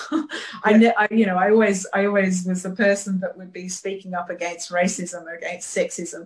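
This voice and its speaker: With an English accent, a woman speaks at a moderate pace with hardly any pauses and big swings in loudness, over noticeable background noise. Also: medium pitch for a woman, fairly even intonation. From UK. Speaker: photographer. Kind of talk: interview. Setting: studio.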